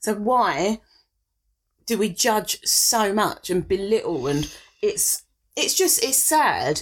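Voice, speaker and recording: At a very slow pace with long, frequent pauses, a woman with vocal fry speaks at a fairly high pitch with very wide pitch swings and very even loudness. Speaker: podcast co-host. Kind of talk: casual chat.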